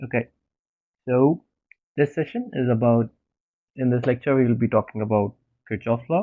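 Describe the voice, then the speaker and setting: A medium-pitched man speaks with ordinary pitch variation and very even loudness. He takes long, frequent pauses. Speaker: teaching assistant. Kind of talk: online lecture. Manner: soft-spoken; slow.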